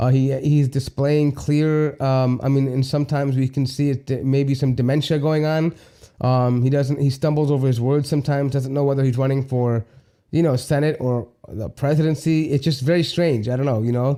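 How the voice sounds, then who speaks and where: A man's fairly high pitch in a dark, mellow tone, monotone and flat, at very even loudness, on a very clean recording with a silent background. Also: moderate pace. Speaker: livestream show host. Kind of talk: live stream chat reading viewer comments. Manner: halting, many fillers.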